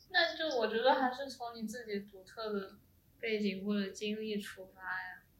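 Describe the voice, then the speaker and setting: Her voice set fairly high, a woman speaks at a moderate pace with big swings in loudness and audible room echo. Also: ordinary pitch variation. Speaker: podcast co-host, student abroad. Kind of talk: casual chat.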